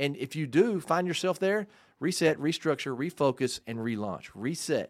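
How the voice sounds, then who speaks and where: An animated man at a fairly quick pace, his intonation lively, in a very clean recording with a silent background. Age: 50s. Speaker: business coach and podcast host. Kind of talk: casual chat.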